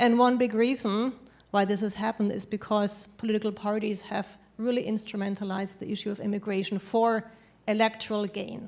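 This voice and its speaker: A woman with a German accent speaks at a fairly quick pace. Her fairly high voice stays in a flat monotone. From Germany. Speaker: panelist on immigration. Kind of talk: panel discussion.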